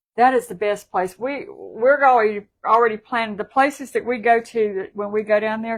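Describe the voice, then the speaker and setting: Speaking in a Southern US accent with hardly any pauses, a woman keeps her fairly high-pitched voice fairly even in intonation. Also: moderate pace. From South Carolina. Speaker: livestream co-host. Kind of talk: casual chat.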